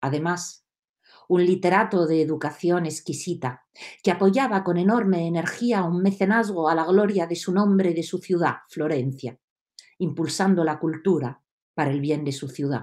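Against a quiet background, a woman speaks at a moderate pace in a fairly low pitch with ordinary pitch variation. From Italy, Rome. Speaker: storyteller. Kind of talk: storytelling. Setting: video call. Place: home room. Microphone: webcam.

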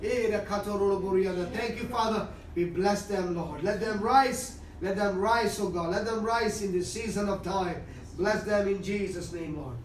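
A man's high voice at a fairly slow pace with fairly even intonation, amid audible room echo and light background noise. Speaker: preacher giving prophecy; pastor. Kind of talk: fervent prophetic prayer, declaring and praying aloud. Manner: urgent, emphatic, repetitive, rising in intensity; halting, stumbling and repeating phrases. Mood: fervent, pleading prayer. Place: home room.

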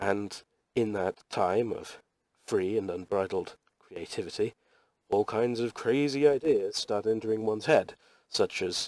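Heard against a quiet background, a speaker with a British accent talks at a fairly slow pace in a dry recording with no echo. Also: man. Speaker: webcomic artist. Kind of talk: casual drawing tutorial talk. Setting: poor quality microphone.

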